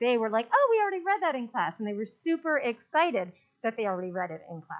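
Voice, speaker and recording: A woman talks at a very fast pace with a fairly high pitch, an animated tone, very wide pitch swings, and big swings in loudness. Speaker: elementary school principal. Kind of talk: report at a school board meeting.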